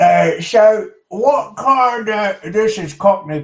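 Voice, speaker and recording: Putting on a character voice, a man talks very slowly at a high pitch. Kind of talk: gruff pirate.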